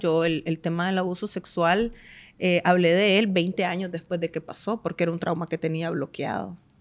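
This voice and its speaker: In an ordinary speaking voice, a woman talks at a moderate pace and medium pitch, on a very clean recording with a silent background. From Nicaragua, Estelí. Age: 30s. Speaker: manicurist and entrepreneur. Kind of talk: podcast interview.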